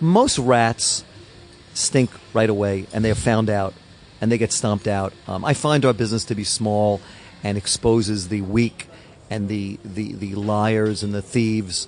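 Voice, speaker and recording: This man has a normal speaking voice, pitched fairly low, with fairly even intonation at a fairly slow pace. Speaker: record label owner. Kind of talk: interview. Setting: hotel.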